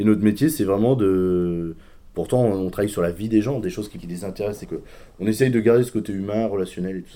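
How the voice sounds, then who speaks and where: Fairly low, dark and mellow male voice at a fairly quick pace with ordinary pitch variation. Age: 30s. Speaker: wealth management advisor. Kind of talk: interview. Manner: hesitant.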